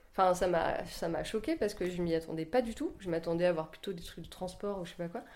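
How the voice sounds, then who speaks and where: Her medium-pitched voice moves at a moderate pace. The woman's pitch varies in an ordinary way. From rural France. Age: 40s. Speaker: office worker and yoga teacher. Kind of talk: casual interview at home. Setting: home kitchen. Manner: hesitant, many fillers.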